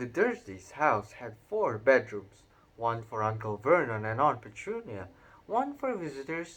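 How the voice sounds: The recording features a natural reading voice.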